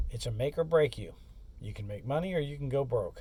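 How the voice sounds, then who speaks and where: This man's voice sits fairly high. It is somewhat breathy. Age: 60s. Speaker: courier and expedite driver, vlogger. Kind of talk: casual monologue vlog. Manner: casual, conversational.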